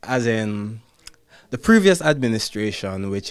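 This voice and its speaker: A man's fairly low voice at a moderate pace, in a very clean recording with a silent background. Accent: Jamaican. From Jamaica. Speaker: ballet dancer. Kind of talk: interview answer.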